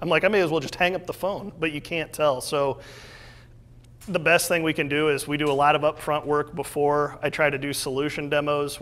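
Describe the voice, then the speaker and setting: A man talks with a Midwestern US accent. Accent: US Midwest. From Iowa, Des Moines area. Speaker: entrepreneur. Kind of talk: talk with audience Q&A. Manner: fast.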